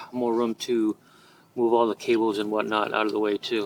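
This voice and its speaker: Man at medium pitch with noticeable background noise. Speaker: auto mechanic. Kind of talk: casual repair tutorial to camera.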